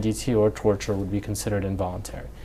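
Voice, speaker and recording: A man's voice, fairly low in pitch, comes through noticeable background noise. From Middle East (Lebanon, Iraq, Syria, Jordan). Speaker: law professor and clinic director. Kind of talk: oral history interview answer.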